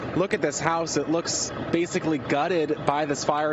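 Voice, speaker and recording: An energetic man with a fairly high pitch, at a moderate pace, against noticeable background noise. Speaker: news reporter. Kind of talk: television news reporting. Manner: urgent, energetic, live-report delivery.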